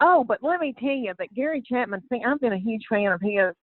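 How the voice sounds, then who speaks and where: This woman talks with a Southern US accent. Her pace is fairly quick. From Southern United States. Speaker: comedian. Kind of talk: podcast interview answer. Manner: warm, chatty storyteller.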